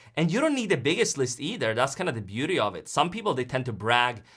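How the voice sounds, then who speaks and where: In a Swedish accent, a man talks at a very fast pace and a medium pitch with a bright, sharp tone. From Sweden. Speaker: online business coach. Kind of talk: live-streamed webinar presentation. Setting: live stream.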